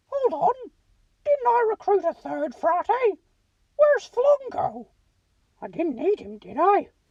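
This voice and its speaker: With a dry, close sound and no echo, a woman does a put-on character voice at an extremely high pitch, using very wide pitch swings, big swings in loudness, a fairly slow pace and long, frequent pauses. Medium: read story.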